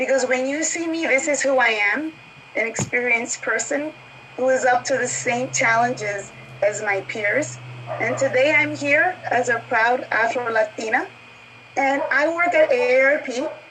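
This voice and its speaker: A woman speaks at a high pitch with ordinary pitch variation. Her pace is moderate, with noticeable background noise. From New York City. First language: Spanish. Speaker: marketing executive panelist. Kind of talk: panel discussion introduction.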